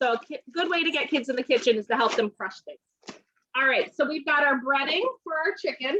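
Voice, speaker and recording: Lively and fairly quick, a woman's high-pitched, raised and projected voice comes through with a bright, sharp tone and a dry, close sound with no echo. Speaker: home cooking consultant. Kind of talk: live cooking demonstration.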